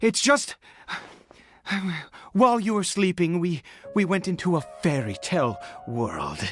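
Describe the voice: The speaker uses a put-on character voice with very wide pitch swings at a fairly slow pace. Faint music plays in the background. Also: man, high pitch for a man.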